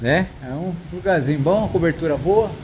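The voice is a man's. It swings very widely in pitch over noticeable background noise. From Mato Grosso do Sul, Brazil. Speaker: travel and camping vlogger. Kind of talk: vlog narration to camera. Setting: outdoors at a beach. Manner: animated.

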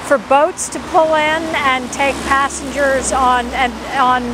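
A woman with a high pitch speaks at a fairly slow pace in a monotone, flat intonation, the sound dry with no echo over noticeable background noise. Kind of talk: interview answer. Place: street. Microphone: lapel.

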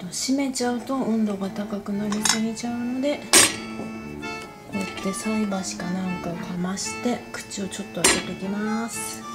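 The speaker keeps a moderate pace while loud music plays in the background. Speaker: home cook. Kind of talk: cooking tutorial talk. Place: home room. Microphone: phone near.

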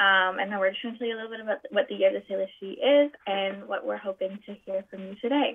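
Talking at a very fast pace with hardly any pauses, a woman's voice shows big swings in loudness. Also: ordinary pitch variation. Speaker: guest. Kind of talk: formal presentation. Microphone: video call.

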